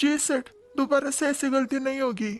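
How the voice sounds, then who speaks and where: A cartoonish character voice, female-sounding and high-pitched, at a moderate pace. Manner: meek, apologetic.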